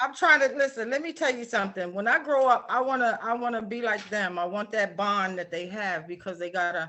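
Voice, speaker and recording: Speaking with an American accent, a woman has an unremarkable speaking voice pitched fairly high. She moves at a fairly quick pace with lively intonation and hardly any pauses. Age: 60s. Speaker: author. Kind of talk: live show interview. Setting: live online video stream.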